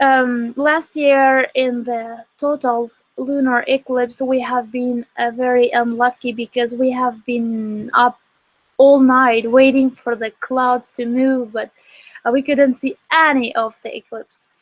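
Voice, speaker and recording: A woman with an Albanian accent, high-pitched, monotone and flat, at a very slow pace, in a dry, close sound with no echo. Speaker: astronomy outreach director. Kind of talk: live-stream commentary. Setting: live online broadcast, outdoor observing. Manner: casual, halting with fillers.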